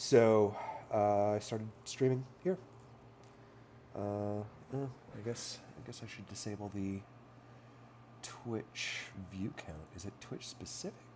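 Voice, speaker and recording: Slowly and with long, frequent pauses, a man speaks at a fairly low pitch in a dark, mellow tone. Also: ordinary pitch variation, big swings in loudness. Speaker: streamer. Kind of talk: casual live stream chat. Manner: casual, hesitant with fillers.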